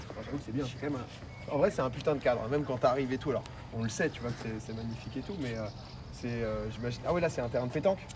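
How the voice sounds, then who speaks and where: Noticeable background noise accompanies a man talking very fast. His medium pitch has ordinary variation. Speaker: streamer. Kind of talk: live stream tour, casual chat. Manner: animated.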